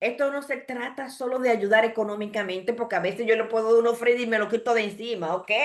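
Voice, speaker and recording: A woman speaks at a fairly high pitch with ordinary pitch variation, in a plain, everyday voice. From Dominican Republic, Santo Domingo. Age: 60s. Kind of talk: sermon.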